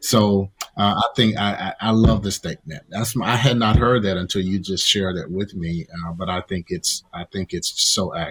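With a dry, close sound and no echo, a man speaks at a fairly low pitch and moderate pace with ordinary pitch variation. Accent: Southern US. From Mississippi, deep South US. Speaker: pastor. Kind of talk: interview discussion.

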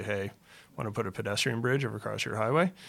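A man's bright, sharp tone with vocal fry, on a very clean recording with a silent background. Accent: Canadian. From Ontario, Canada. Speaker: real estate developer. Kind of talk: interview.

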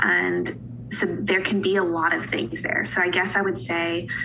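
A woman speaks at a moderate pace with an American accent. Room echo is audible and background noise is noticeable. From Western North Carolina (Asheville). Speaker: pharmacist. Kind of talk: casual interview.

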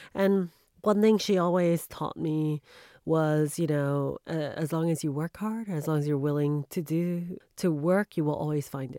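In a very clean recording with a silent background, a woman speaks at a fairly slow pace in a dark, mellow tone with a very deep, low pitch. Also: ordinary pitch variation, dry, close sound with no echo. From US, New York. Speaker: bank executive. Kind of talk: interview.

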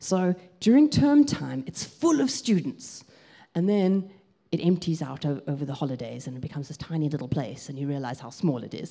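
In a South African accent, a woman speaks at a moderate pace with lively intonation and big swings in loudness. Her voice is very deep and low, with a dark, mellow tone. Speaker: pastor. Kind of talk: sermon. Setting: church.

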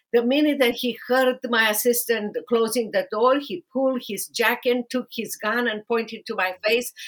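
With a Romanian accent, a woman speaks at a fairly slow pace, her fairly high pitch held in fairly even intonation. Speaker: podcast host, lawyer and author. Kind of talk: interview podcast.

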